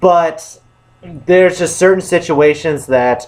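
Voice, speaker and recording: Pitch varying in an ordinary way, a man talks at a fairly slow pace. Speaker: movie reviewer. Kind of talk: casual vlog talk. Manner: halting, many restarts and repetitions.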